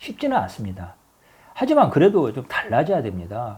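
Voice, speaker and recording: A man's somewhat breathy, dark and mellow voice at a fairly quick pace. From Honam (Jeolla), South Korea. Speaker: political commentator. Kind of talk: political commentary monologue. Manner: halting, with self-corrections.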